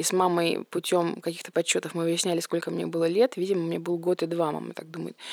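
A woman talks at a fairly low pitch, the sound dry and close with no echo. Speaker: restoration business owner. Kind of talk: casual chat.

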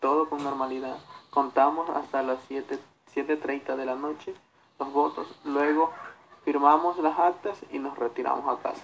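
In a plain, everyday voice, a man speaks at a fairly slow pace with a fairly high pitch and fairly even intonation. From Ecuador, Santa Elena province. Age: young. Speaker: election polling station worker. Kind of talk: radio interview.

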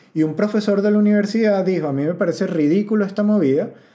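A man with a Venezuelan accent talks at a very fast pace in a dark, mellow tone with ordinary pitch variation. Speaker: comedian and podcast host. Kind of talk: casual podcast monologue. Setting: rented house.

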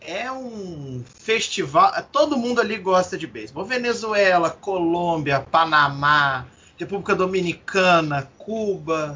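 With a high pitch and lively intonation, this man speaks at a very slow pace with hardly any pauses. His loudness swings a great deal. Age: 20s. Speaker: podcast co-host. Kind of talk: casual chat.

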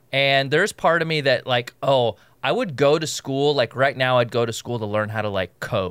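In a very clean recording with a silent background and a dry, close sound free of echo, a man speaks at a moderate pace and medium pitch with ordinary pitch variation in an unremarkable speaking voice. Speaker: comedian and podcast host. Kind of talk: casual chat.

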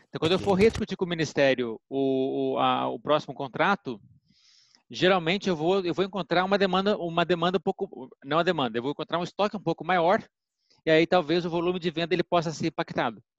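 A man with a high pitch talks at a fairly quick pace in a dry, close recording with no echo and a quiet background. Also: ordinary pitch variation. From Brazil, Minas Gerais. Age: 40s. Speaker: pharmaceutical executive and physician. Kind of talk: interview. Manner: hesitant, repeats words.

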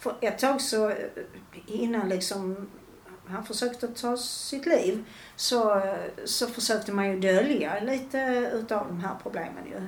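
A woman with a fairly high pitch speaks with audible room echo around her. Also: ordinary pitch variation. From Skåne, Malmö. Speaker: retired mother of a gambling addict. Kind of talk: personal testimony in interview.

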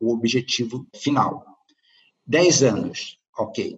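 A man's somewhat breathy, medium-pitched voice with a Brazilian accent and lively intonation. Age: 50s. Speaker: startup consultant and author. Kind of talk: interview.

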